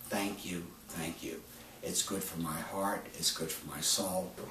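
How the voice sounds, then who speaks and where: A man talks very slowly at a fairly low pitch. Audible room echo and noticeable background noise fill the recording. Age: 70s. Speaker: medical doctor. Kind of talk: promotional monologue. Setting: doctor's office.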